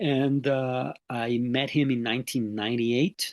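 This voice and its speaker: A man speaks with a Mexican accent. The sound is dry and close with no echo, and the background is quiet. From Mexico. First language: Spanish. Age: 50s. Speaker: NLP trainer and sports mental coach. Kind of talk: interview. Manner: hesitant, many filler sounds.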